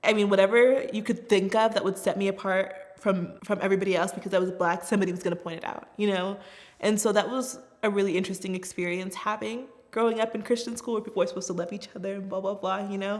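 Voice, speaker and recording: A woman talks very fast in an American accent, with a medium pitch and fairly even intonation. Background noise is noticeable. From US Southwest, Tucson, Arizona. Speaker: refugee resettlement worker. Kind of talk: personal testimony. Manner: casual, conversational.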